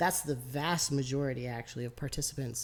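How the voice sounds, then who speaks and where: This woman is soft-spoken. Her voice stays low in volume throughout. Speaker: interviewer. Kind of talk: interview. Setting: rural Iowa.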